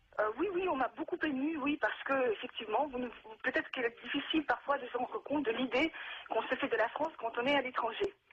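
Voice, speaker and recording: A woman speaks very fast in a high voice with ordinary pitch variation and very even loudness. Background noise is noticeable. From Russia. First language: Russian (speaking French). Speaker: naturalized citizen giving testimony. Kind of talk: televised debate testimony. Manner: halting.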